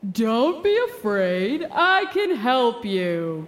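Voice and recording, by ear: A woman speaks very slowly in a booming, put-on character voice, her fairly high pitch making big swings.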